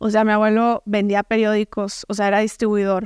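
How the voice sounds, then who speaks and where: A woman with a northern Mexican accent talks at a moderate pace, the sound dry with no echo and the background quiet. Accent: northern Mexican (Sonoran) Spanish. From Mexico, Hermosillo, Sonora; Sonora, Mexico. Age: 20s. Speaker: entrepreneur and speaker; speaker. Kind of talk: interview testimony. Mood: candid, reflective storytelling. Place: studio. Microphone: studio mic.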